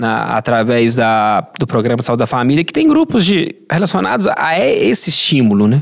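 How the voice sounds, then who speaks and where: A man with a plain, everyday voice and medium pitch talks at a moderate pace with lively intonation and hardly any pauses. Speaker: health sciences professor. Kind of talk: podcast interview answer.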